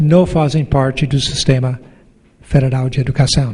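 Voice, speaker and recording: A man speaks here. His pace is fairly slow. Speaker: professor and education council president. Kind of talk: conference talk.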